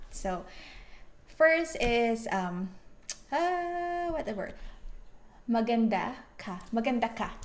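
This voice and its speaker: Long, frequent pauses break up a woman's very slow speech. Her fairly high voice swings very widely in pitch, with audible room echo. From Philippines. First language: Filipino (Tagalog). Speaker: vlogger. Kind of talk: casual chat.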